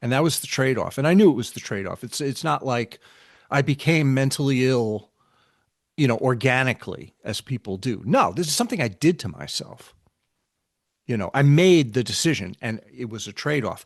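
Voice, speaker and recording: Here is a plain, everyday voice with an American accent and lively intonation. The background is quiet. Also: man, medium pitch for a man, fairly quick pace. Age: 60s. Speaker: spiritual teacher. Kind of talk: casual chat.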